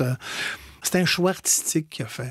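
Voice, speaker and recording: A man speaks with a Quebec accent. His voice is somewhat breathy. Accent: Québécois French. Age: 60s. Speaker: stage actor. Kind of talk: radio interview. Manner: halting.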